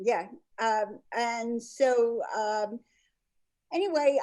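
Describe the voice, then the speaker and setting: A woman speaks very slowly in a fairly high voice with a dark, mellow tone. Her intonation is lively. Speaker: painter. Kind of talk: interview.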